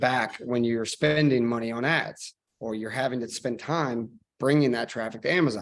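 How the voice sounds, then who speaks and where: With an American accent, a man talks at a medium pitch and fairly even intonation. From US Midwest, Missouri. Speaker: e-commerce marketing expert. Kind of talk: webinar presentation. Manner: fast.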